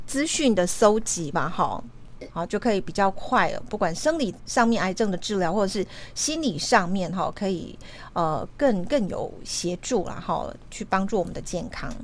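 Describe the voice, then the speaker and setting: This woman has an unremarkable speaking voice at a medium pitch, with lively intonation. She talks at a fairly slow pace. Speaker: radio host. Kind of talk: interview.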